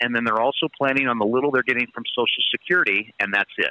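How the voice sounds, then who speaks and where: Pitch varies in an ordinary way as the words pour out very fast. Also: man. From Hawaii. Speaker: retirement plan consultant and author. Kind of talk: interview.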